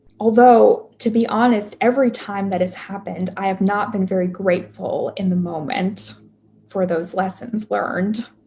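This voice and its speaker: A woman's medium-pitched voice, somewhat breathy with a dark, mellow tone, fairly even intonation, and a moderate pace. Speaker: pastoral minister. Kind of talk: sermon. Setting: video call.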